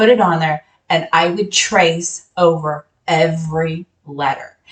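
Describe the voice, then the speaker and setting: This woman's voice sits fairly low in pitch and sounds somewhat breathy. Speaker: sewing software instructor. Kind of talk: tutorial.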